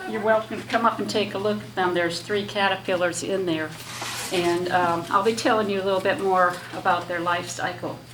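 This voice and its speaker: Noticeable background noise and audible room echo accompany a woman with an American accent who speaks at a fairly quick pace with a medium pitch and ordinary pitch variation. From Michigan, US Midwest. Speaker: butterfly enthusiast speaker. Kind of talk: talk to a lunch group. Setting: room with audience, PA microphone. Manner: hesitant, many fillers.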